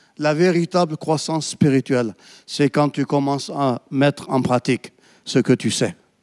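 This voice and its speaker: With a normal speaking voice, a man talks at a fairly slow pace and a fairly high pitch, his pitch varying in an ordinary way, in a dry, close sound with no echo. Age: 50s. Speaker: pastor. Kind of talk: sermon.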